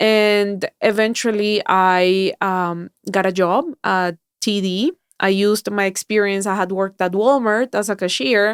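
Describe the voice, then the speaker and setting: In a very clean recording with a silent background and dry, close sound with no echo, a woman speaks with a Spanish accent. Her voice is medium-pitched and fairly slow, with very even loudness. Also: fairly even intonation. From Colombia. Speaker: mindset coach and keynote speaker. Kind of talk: podcast interview.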